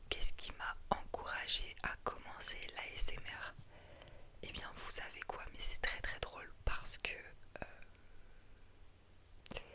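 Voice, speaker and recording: Whispering very slowly, a woman can be heard against noticeable background noise. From France. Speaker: ASMR creator. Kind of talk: casual talk to camera, FAQ answers. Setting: studio, home recording. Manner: soft-spoken, whispering.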